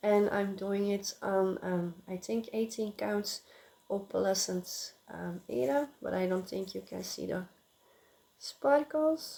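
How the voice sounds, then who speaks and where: Speaking at a very slow pace, a woman with a non-native accent uses lively intonation in a medium-pitched voice with a dark, mellow tone. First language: not English. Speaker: crafting vlogger. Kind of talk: casual chat. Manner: halting, many filler sounds.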